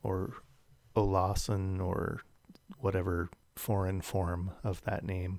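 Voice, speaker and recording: On a very clean recording with a silent background, a man with a Californian accent speaks very slowly at a fairly low pitch. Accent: Californian American. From US West Coast, South San Jose, California. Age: 40s. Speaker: podcast co-host. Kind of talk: casual chat.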